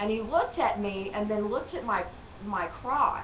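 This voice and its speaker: The speaker has a strong Southern accent, a moderate pace, and ordinary pitch variation. Audible room echo and noticeable background noise fill the recording. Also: woman. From US South. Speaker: tourist. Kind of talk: interview.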